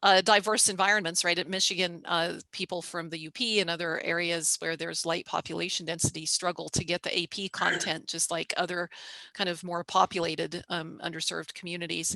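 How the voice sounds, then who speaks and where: With an American accent, a woman speaks at a fairly low pitch in a bright, sharp tone, the sound dry and close with no echo. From rural West Virginia. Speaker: professor. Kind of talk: panel discussion. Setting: video call from home.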